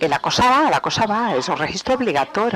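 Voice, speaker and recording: A man speaks over noticeable background noise. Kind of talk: webinar presentation. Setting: webinar. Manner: halting, many fillers.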